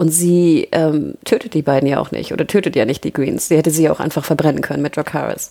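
Speaking at a very fast pace with hardly any pauses, a woman has a very deep, low pitch and ordinary pitch variation, with noticeable background noise. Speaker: podcast co-host. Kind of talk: casual chat.

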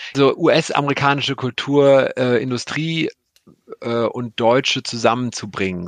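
A man speaks in a plain, everyday voice at medium pitch with fairly even intonation, the sound dry and close with no echo against a quiet background. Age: 40s. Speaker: streaming content executive. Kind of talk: interview. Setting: video call.

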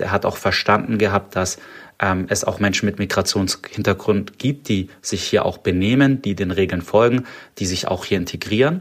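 The speech comes at a moderate pace with ordinary pitch variation and a slight Swabian accent. The recording is very clean, with a silent background. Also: man. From Stuttgart, Swabia, Germany. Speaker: startup founder. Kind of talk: interview. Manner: hesitant, many filler sounds.

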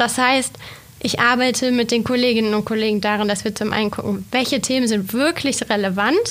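A woman talks at a moderate pace in a plain, everyday voice, fairly high in pitch and fairly even in intonation. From Swabia, Germany (Reutlingen). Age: 30s. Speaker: newspaper editor and manager. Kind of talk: podcast interview.

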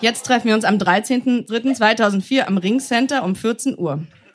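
A woman speaks at a very slow pace with noticeable background noise present. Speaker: stage reader. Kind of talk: reading aloud. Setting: stage with audience.

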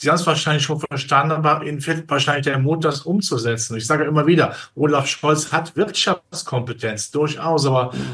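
This man talks at a fairly quick pace in a bright, sharp tone, his pitch fairly high for a man. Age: 60s. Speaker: capital markets analyst. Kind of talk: interview.

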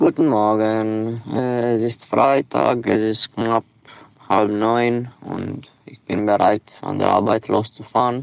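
Speaking at a very slow pace with a Romanian accent, a man of medium pitch keeps fairly even intonation while his loudness swings widely. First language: Romanian (speaking German). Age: 20s. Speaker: delivery driver. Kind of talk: voice messages. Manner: halting.

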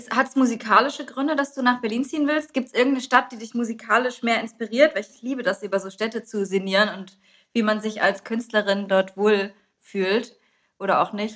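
The voice is a plain, everyday voice with ordinary pitch variation and big swings in loudness. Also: woman, fairly high pitch for a woman, fairly quick pace. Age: 30s. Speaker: podcast host. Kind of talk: casual chat.

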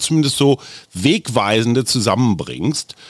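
This is a normal speaking voice. The intonation is lively and the pace moderate. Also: man. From Germany, Oldenburg area. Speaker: podcast host and journalist. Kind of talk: casual interview.

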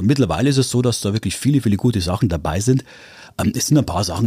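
Somewhat breathy and dark, mellow in tone, a man's voice moves through very wide pitch swings. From Upper Palatinate, Bavaria. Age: 50s. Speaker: radio morning show host. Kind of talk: casual interview. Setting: studio.

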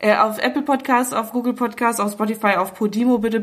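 A woman with a fairly high voice speaks very fast. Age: 20s. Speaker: podcast host and magazine editor. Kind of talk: casual chat. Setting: makeshift home podcast booth.

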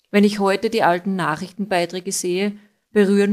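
A woman at medium pitch talks at a fairly quick pace. The recording is very clean, with a silent background. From Austria, Styrian mining town. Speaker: listener contributor. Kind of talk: recorded narration of a case.

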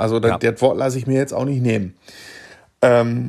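The man's voice sits at a medium pitch. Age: 40s. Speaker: sports reporter. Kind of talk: casual chat.

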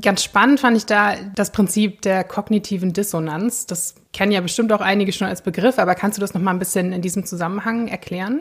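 A woman speaks at a fairly quick pace with hardly any pauses. Her medium-pitched voice is somewhat breathy. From Germany. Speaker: podcast co-host. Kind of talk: casual chat.

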